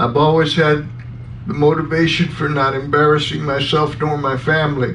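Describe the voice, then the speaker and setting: A man's fairly high-pitched speech comes through with audible room echo and noticeable background noise. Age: 60s. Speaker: radio talk show host. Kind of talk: farewell commentary on radio.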